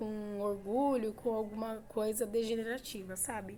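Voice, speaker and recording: A woman talks at a fairly slow pace with a fairly high pitch. Her tone is dark and mellow. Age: 30s. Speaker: vlogger. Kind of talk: casual chat.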